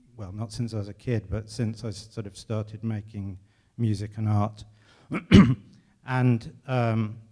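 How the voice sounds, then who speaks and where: Using an English accent, a man speaks at a fairly slow pace in a fairly low pitch, with a dark, mellow tone, monotone, flat intonation and long, frequent pauses. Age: 50s. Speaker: composer. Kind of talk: public conversation on stage. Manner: halting.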